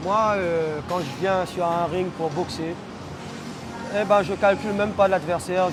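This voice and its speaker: A man talks at a fairly slow pace with a high pitch and ordinary pitch variation. Music plays in the background. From Réunion, Le Port. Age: 30s. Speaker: boxer. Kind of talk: interview.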